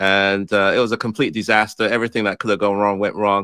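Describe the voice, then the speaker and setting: Speaking fairly quickly with an English accent, this man has a fairly low pitch and a flat, monotone delivery. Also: dry, close sound with no echo. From England, born in Ghana. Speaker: real estate investor. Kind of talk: interview. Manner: hesitant, many fillers.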